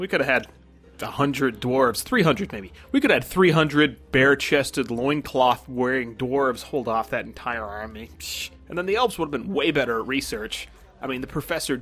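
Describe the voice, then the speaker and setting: Someone speaks at a fairly quick pace in a normal speaking voice. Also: man. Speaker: player. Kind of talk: tabletop roleplaying game, in-character. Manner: joking, casual.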